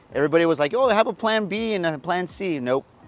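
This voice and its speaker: Over music in the background, a man with an American accent talks at a very fast pace. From San Antonio, Texas (West Side). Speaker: TV news reporter. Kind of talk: interview answer.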